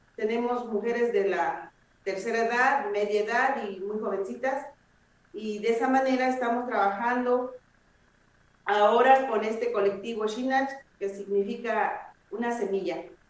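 Fairly even in intonation, the voice moves at a fairly slow pace with audible room echo. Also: woman. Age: 50s. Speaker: herbalist collective member. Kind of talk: interview.

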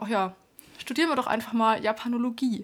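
A woman with an unremarkable speaking voice talks at a fairly quick pace with fairly even intonation, recorded very cleanly against a silent background. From Baden-Württemberg, Germany. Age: 30s. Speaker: podcast co-host, self-employed entrepreneur. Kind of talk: casual chat.

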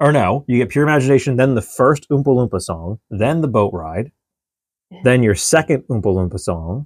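At a moderate pace and medium pitch, a man talks with lively intonation in a normal speaking voice, the sound dry and close with no echo. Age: 30s. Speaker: podcast co-host. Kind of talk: casual chat.

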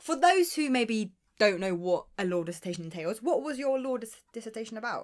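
Speaking fast, a woman with a strong South London accent keeps to a fairly quick pace. Her voice is fairly high and swings very widely in pitch. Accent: strong Croydon. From London, Croydon. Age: 20s. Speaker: podcast co-host. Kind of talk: casual chat.

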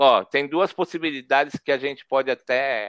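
The sound is dry and close, with no echo. A man speaks at a fairly high pitch with ordinary pitch variation. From São Paulo, North Zone, Brazil. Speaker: photojournalist and street artist. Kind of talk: interview conversation.

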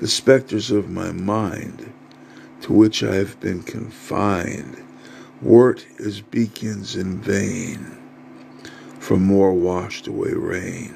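A man speaks at a very slow pace in a solemn tone, his pitch fairly low with ordinary variation. Noticeable background noise runs underneath. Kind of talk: performed poetry. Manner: rhythmic, rhyme-driven; grandiose, solemn, incantatory.

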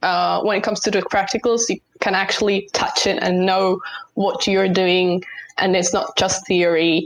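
A woman at medium pitch and moderate pace, a normal speaking voice. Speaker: university student. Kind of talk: casual chat.

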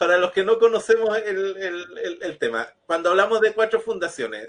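This man's voice is high in pitch. He talks at a fairly slow pace. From Chile, another region. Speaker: TV show host. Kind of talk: casual chat.

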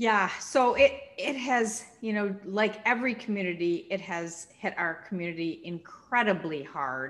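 A woman with a Minnesotan accent, warm and enthusiastic in tone, lively in intonation, with hardly any pauses. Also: medium pitch for a woman, fairly slow pace. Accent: Minnesota. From Minnesota, US. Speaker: nonprofit CEO and former state senator. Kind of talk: interview conversation. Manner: warm, enthusiastic, energetic.

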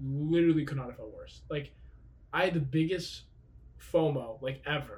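At a moderate pace, a man with a fairly high, somewhat breathy voice speaks with fairly even intonation. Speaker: podcast co-host. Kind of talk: casual chat. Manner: joking, casual.

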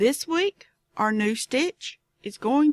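A woman with a Southern US accent speaks at a high pitch with very wide pitch swings, in a dry, close sound with no echo. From Southern United States. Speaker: knitting podcast host. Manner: casual, chatty, digressive.

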